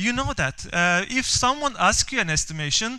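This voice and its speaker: A man with a Turkish accent speaks in a raised, projected voice at a fairly slow pace. His tone is bright and sharp, and his intonation is lively. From Turkey. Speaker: software developer and conference speaker. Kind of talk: conference talk. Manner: halting, many fillers and repeats.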